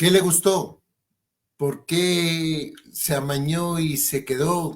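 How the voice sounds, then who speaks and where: A man's high-pitched voice at a very slow pace, with fairly even intonation. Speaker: TV show host. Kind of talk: interview.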